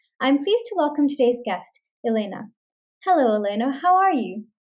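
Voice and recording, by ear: Fairly high in pitch, a woman speaks at a moderate pace.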